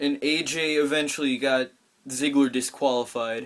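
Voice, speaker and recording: The man speaks in a fairly high pitch. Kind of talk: casual wrestling results recap. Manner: quiet, hushed.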